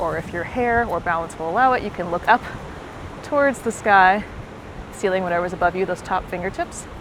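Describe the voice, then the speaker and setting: With long, frequent pauses and noticeable background noise, a woman talks at a fairly quick pace in an energetic, medium-pitched voice. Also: ordinary pitch variation. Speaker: fitness instructor. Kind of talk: workout instruction. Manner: fast; energetic, encouraging.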